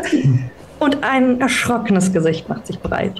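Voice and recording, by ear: Big pitch swings mark this slow delivery, heard with audible room echo. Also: woman, fairly high pitch for a woman.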